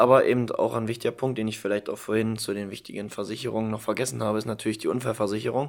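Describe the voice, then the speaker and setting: The recording is very clean with a silent background as a man speaks at a medium pitch. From Saxony-Anhalt, Germany (Halberstadt). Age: 20s. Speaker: insurance trainee. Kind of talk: casual chat.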